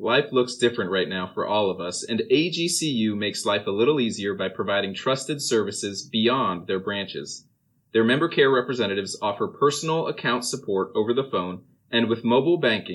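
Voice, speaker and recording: A man at medium pitch, with lively intonation, a moderate pace and a normal speaking voice. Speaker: university podcast co-host. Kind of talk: interview conversation.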